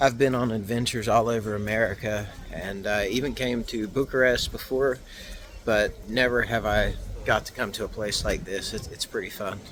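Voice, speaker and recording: Over noticeable background noise, a man speaks at a medium pitch in a Southern US accent. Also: moderate pace. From US South, West Virginia (McDowell County). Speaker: travel vlogger. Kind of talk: casual travel vlog narration. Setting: outdoors. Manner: animated.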